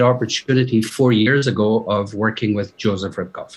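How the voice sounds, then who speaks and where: At a moderate pace, a man with a slight Scottish accent speaks in a fairly even intonation. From Scotland, Aberdeen. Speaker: fashion company executive. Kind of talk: podcast interview.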